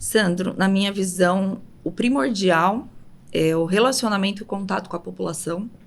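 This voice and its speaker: In a medium pitch with vocal fry, a woman speaks at a fairly slow pace. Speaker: city councillor. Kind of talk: interview.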